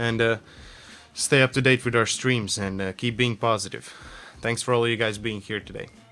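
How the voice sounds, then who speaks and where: Speaking in a Latvian accent, a man talks at a medium pitch and a moderate pace with monotone, flat intonation. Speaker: game artist streamer. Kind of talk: casual live stream chat while working. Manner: relaxed, halting with fillers.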